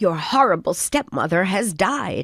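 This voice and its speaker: Someone growls through a put-on character voice at a middle pitch and a moderate pace. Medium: read story.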